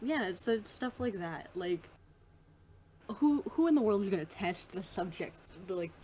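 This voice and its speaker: A woman with an American accent talks at a moderate pace and a medium pitch, somewhat breathy. Her pitch swings very widely, and she takes long, frequent pauses. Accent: Midwest US, slips in when relaxed. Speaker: podcast host and tabletop game master. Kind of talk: casual chat.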